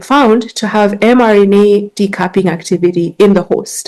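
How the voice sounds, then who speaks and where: A woman with a Kenyan accent talks at a moderate pace and medium pitch, with a dark, mellow tone and ordinary pitch variation. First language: Gikuyu. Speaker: science communicator and biologist. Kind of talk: conference talk. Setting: conference stage with audience.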